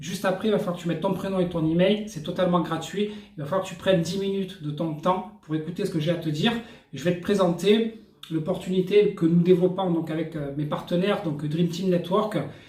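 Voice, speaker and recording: Audible room echo surrounds a man with a high pitch. He talks at a fairly quick pace with fairly even intonation. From France. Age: 40s. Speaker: network marketing entrepreneur. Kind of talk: sales pitch. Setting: hotel room. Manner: casual, hesitant with fillers.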